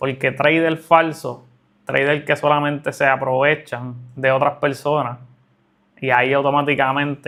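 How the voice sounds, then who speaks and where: A man's fairly high-pitched voice, flat and monotone in intonation, at a moderate pace. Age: 30s. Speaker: trading educator / entrepreneur. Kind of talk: monologue to camera.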